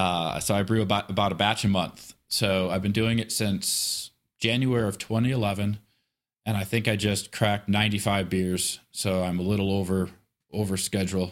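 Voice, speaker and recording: In a very clean recording with a silent background, a man with an American accent speaks at a moderate pace with fairly even intonation. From Michigan. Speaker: army veteran, defense contractor. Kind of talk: casual interview chat.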